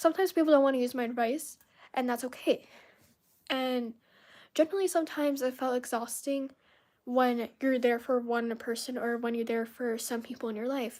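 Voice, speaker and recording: Fairly quick, fairly even speech from a woman, on a very clean recording with a silent background. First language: Spanish. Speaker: content creator livestreamer. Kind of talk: casual live stream chat. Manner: halting, many fillers.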